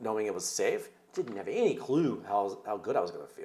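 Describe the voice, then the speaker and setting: A man is talking. His pace is very fast. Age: 50s. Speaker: documentary filmmaker. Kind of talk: interview. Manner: animated.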